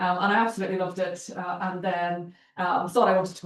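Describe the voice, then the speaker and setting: Talking at a fairly quick pace, a woman with a Northern Irish accent has a fairly low pitch. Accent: Northern Irish (Belfast). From Northern Ireland, Belfast. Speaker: charity chief executive, guest speaker. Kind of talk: seminar talk. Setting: university seminar room, hybrid event.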